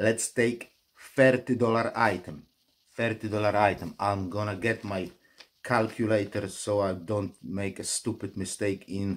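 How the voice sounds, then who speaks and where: A man with a Polish accent talks at a fairly slow pace, his fairly low pitch held in fairly even intonation. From Poland. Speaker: online reseller vlogger. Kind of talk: vlog commentary.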